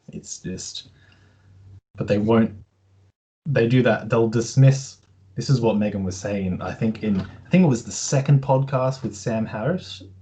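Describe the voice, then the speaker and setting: Somewhat breathy and dark, mellow in tone, the voice moves at a fairly slow pace with long, frequent pauses and a slight Australian accent. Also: man, medium pitch for a man, ordinary pitch variation. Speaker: podcast host, interviewer. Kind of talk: casual interview chat.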